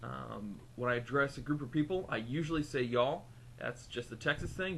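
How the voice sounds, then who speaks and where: Talking at a fairly quick pace, a man uses a medium pitch with ordinary pitch variation and some vocal fry. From US Midwest, Southern Illinois; also Ecuador and Hawaii. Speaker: vlogger, customer service technician. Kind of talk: casual accent-tag video, reading a word list. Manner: relaxed, many 'um' fillers.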